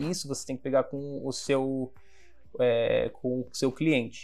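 Music plays in the background. A man talks with fairly high pitch and ordinary pitch variation. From Brazil, Baixada Santista (Guarujá, São Paulo coast). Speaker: design company CEO. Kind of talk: casual interview.

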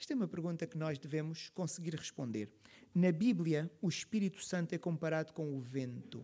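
This man has a dark, mellow tone at a fairly high pitch. His intonation is lively. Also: moderate pace. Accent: European Portuguese. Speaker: pastor. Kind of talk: sermon.

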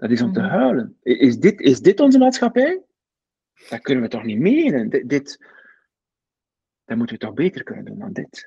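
Pausing long and often, a man with a high, dark and mellow voice speaks at a moderate pace, his pitch swinging very widely and his loudness shifting a lot. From West Flanders, Belgium. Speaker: coach and author. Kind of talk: casual interview conversation. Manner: reflective, hesitant with many fillers.

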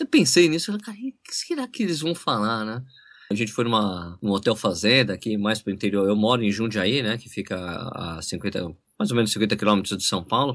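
A man with an ordinary speaking voice, fairly low in pitch, at a fairly quick pace with ordinary pitch variation over a quiet background. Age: 40s. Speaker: running YouTuber and journalist. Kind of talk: casual interview chat.

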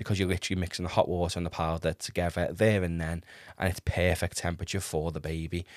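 Someone with an English accent talks very fast on a very clean recording with a silent background. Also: man. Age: 20s. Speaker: podcast host, first-time father. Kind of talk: casual monologue.

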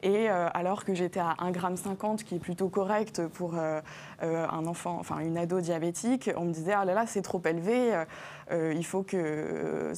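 A woman talks in an unremarkable speaking voice with a fairly low pitch. Her intonation stays fairly even. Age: 20s. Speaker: diabetes influencer. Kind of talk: TV health talk show interview. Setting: TV studio.

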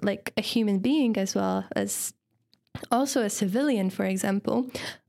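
In a very clean recording with a silent background, a woman speaks with a Polish accent. Her pitch is fairly high and her pace moderate. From Poland. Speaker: university student and feminist. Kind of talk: casual interview chat.

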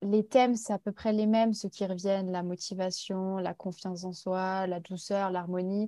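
A woman speaks at a medium pitch and a moderate pace in a dark, mellow tone with flat, monotone intonation, recorded dry and close with no echo against a quiet background. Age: 20s. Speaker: Instagram content creator. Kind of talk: interview.

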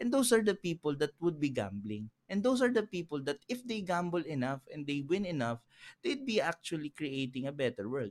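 Recorded dry and close with no echo on a very clean track with a silent background, a man speaks at a fairly quick pace and fairly high pitch with very wide pitch swings. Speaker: entrepreneur. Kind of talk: casual chat. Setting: studio.

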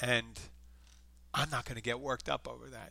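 A man's bright, sharp voice with vocal fry, on a very clean recording against a silent background. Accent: slight Philadelphia. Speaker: podcast host. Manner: casual, rambling.

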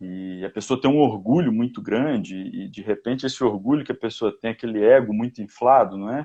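A man with a medium pitch speaks at a fairly quick pace with hardly any pauses. His pitch varies in an ordinary way while his loudness swings widely. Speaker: personal development commentator. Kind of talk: casual chat.

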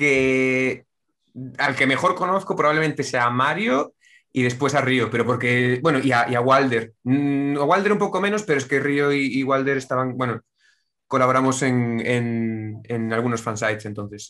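Speaking with a Castilian accent, a man has a medium pitch and a bright, sharp tone. He talks at a moderate pace with ordinary pitch variation over a quiet background. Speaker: online game player. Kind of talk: casual chat.

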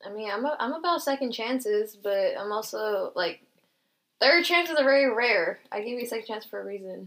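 A woman's unremarkable speaking voice, fairly high in pitch, with lively intonation and a fairly quick pace. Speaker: podcast co-host. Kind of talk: casual chat. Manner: casual, upbeat, slangy.

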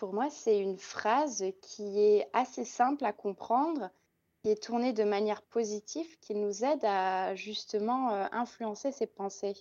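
A woman with a fairly high pitch speaks at a very slow pace against a quiet background. Her tone is dark and mellow, with ordinary pitch variation. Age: 20s. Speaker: instagram content creator. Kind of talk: casual chat.

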